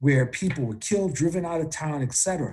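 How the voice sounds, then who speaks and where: A man speaks at a fairly quick clip in a fairly high pitch, with lively intonation. His is a normal speaking voice. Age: 60s. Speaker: activist and trade unionist. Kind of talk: political interview.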